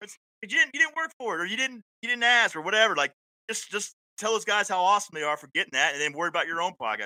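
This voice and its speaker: Very fast and loudly projected, a man with an American accent speaks in a high, bright, sharp, animated voice with very wide pitch swings, recorded dry and close with no echo. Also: big swings in loudness. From Florida panhandle (Panama City). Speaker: podcast host and paramedic, military veteran. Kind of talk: casual chat.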